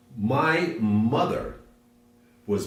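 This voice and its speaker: With audible room echo around him, a man with an American accent swings his pitch very widely. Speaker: interviewee. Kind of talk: interview.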